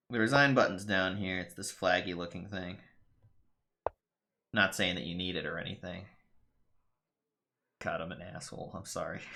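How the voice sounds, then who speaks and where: In a room with audible echo, a man speaks with a very deep, low pitch and a bright, sharp tone. His intonation is fairly even, his loudness swings widely, and he leaves long, frequent pauses. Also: moderate pace. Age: 30s. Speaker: game streamer. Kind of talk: casual live-stream commentary. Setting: live stream.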